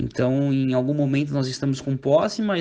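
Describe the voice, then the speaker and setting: This man has a fairly high pitch, a dark, mellow tone and fairly even intonation. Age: 20s. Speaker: youth football coach. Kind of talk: podcast interview.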